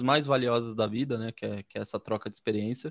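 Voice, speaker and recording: A man's plain, everyday voice at medium pitch with ordinary pitch variation, dry, close sound with no echo, and a quiet background. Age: 30s. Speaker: podcast host. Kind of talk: casual interview.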